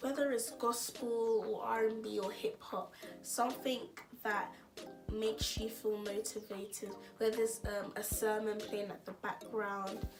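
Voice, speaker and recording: Over music in the background, a woman talks at a fairly slow pace and fairly high pitch, her intonation fairly even. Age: young. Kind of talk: casual talk to camera.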